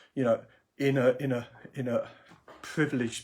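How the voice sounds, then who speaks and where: On a very clean recording with a silent background, the speaker sounds somewhat breathy. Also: man. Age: 60s. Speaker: career coach. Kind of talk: live video blog. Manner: halting, many fillers and repetitions.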